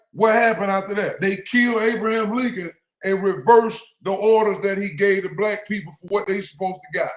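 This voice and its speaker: Loud and high-pitched, a man talks at a fairly quick pace with fairly even intonation. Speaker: religious livestream host. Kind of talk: livestream commentary.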